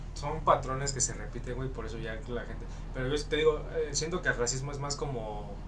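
Background noise is noticeable. Room echo is also audible. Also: man, fairly quick pace. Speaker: podcast co-host. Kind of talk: casual chat. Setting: recording room facing a busy avenue.

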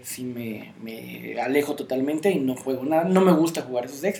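Ordinary pitch variation and a moderate pace in an ordinary speaking voice. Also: man. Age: 30s. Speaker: card game player, co-host. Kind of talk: casual chat.

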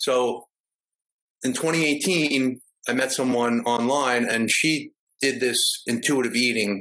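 A man with an American accent, bright, sharp tone, medium pitch and ordinary pitch variation. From New York. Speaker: security guard. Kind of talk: casual chat.

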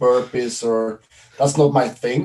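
A man of medium pitch with fairly even intonation. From Sweden. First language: Swedish. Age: 40s. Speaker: CrossFit event organizer. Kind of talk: casual interview. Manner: halting.

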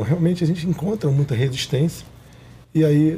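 A man talks at a moderate pace with a dark, mellow tone. His voice is somewhat breathy. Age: 40s. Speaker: businessman and political candidate. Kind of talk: interview.

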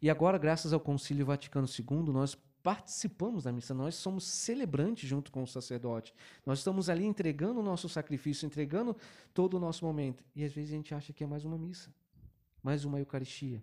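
A man with a fairly high pitch and a dark, mellow tone talks at a very fast pace. The pitch varies in an ordinary way on a very clean recording with a silent background. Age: 40s. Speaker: altar server and salesman. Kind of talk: casual religious chat.

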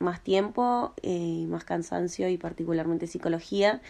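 In a Rioplatense accent, the speaker talks at a fairly slow pace with fairly even intonation and a dark, mellow tone. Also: woman. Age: 20s. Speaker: hair colorist and tattoo artist. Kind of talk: interview. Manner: hesitant, many fillers.

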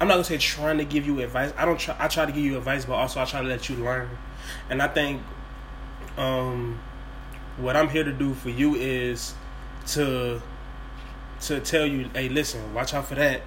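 Noticeable background noise and audible room echo surround a man speaking at a moderate pace with long, frequent pauses. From New Orleans, Louisiana. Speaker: podcast host. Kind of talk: casual chat. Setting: at home, kitchen table.

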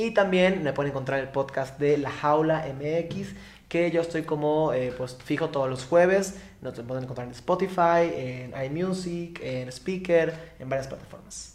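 A man with a Yucatecan accent speaks at a fairly slow pace in a fairly high pitch. His voice is somewhat breathy, with ordinary pitch variation and audible room echo. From Yucatán, Mexico. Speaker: psychologist and activist. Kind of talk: interview. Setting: live stream at a community centre.

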